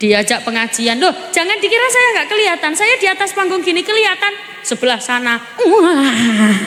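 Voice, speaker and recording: Her voice is raised and projected, with an extremely high pitch and very wide pitch swings at a fairly quick pace. The woman keeps her loudness very even over noticeable background noise. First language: Javanese (speaking Indonesian). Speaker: female Islamic preacher. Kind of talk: sermon. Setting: stage with audience. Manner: animated.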